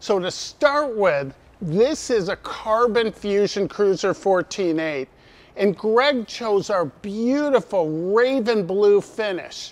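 A man's high-pitched voice, slow in pace with few pauses and lively intonation

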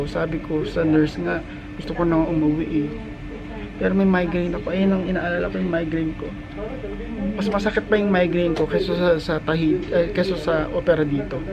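With loud background noise behind him, a man talks at a fairly quick pace and ordinary pitch variation. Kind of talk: casual vlog chat. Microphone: phone near.

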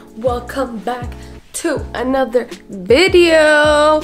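A woman speaks over clear music in the background. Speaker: vlogger. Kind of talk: casual vlog chat. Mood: teasing, joking. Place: home room.

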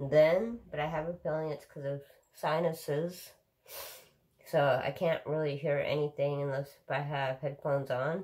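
A woman with a very deep, low pitch talks at a moderate pace over a quiet background. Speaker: daily vlogger. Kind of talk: casual vlog chat. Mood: relaxed, laughing at times. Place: home room. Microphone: phone near.

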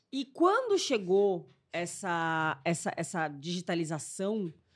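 Very wide pitch swings over a quiet background. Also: woman. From Brazil, Santo André (São Paulo); São Paulo, Brazil. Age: 30s. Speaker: actress and youtuber; actress, youtuber. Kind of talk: casual chat. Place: studio. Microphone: studio mic.

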